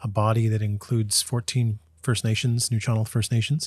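On a very clean recording with a silent background, a somewhat breathy man speaks at a fairly quick pace. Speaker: professor. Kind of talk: casual interview.

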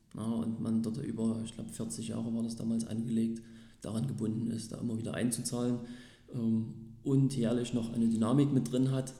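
Medium in pitch, this man's voice has a dark, mellow tone and fairly even intonation. He speaks at a moderate pace, with audible room echo. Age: 30s. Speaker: sales representative and property investor. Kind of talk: interview. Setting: office.

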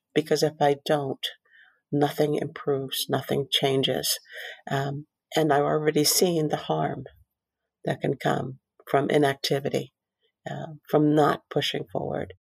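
A woman speaks with a very deep, low pitch, vocal fry and flat, monotone intonation. Her fairly slow delivery has long, frequent pauses, and the sound is dry and close with no echo. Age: 50s. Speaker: physician and healthcare executive. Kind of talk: personal testimony and interview.

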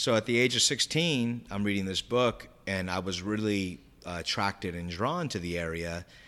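Here a man with an American accent speaks at a fairly low pitch and a moderate pace, with a bright, sharp tone and ordinary pitch variation. The recording is very clean, with a silent background. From Southern California, San Diego. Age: 30s. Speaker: manifestation enthusiast. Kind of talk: casual interview chat. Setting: studio.

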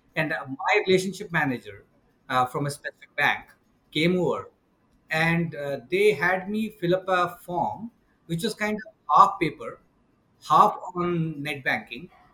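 With a high pitch and a bright, sharp tone, a man speaks at a fairly slow pace with ordinary pitch variation and long, frequent pauses. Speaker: startup founder and CEO. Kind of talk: casual interview.

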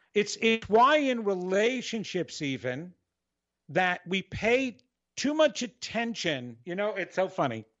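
Fairly slow and high-pitched, a man with an American accent makes very wide pitch swings. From New York. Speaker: psychic radio host. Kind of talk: radio show with live psychic readings. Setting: live radio show with phone callers. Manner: loud, dramatic.

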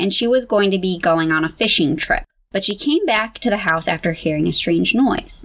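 Intonation stays lively throughout this unforced reading voice.

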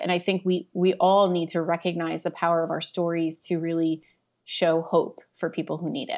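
This woman has an unremarkable speaking voice, medium in pitch, at a moderate pace. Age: 40s. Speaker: corporate well-being strategist. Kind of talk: interview conversation.

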